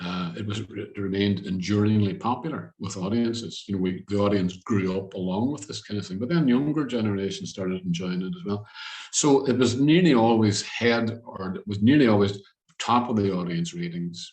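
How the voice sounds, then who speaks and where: A man with a Northern Irish accent, fairly low pitch, ordinary pitch variation and a fairly quick pace. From Derry, Northern Ireland. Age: old. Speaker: TV presenter and producer. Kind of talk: interview answer.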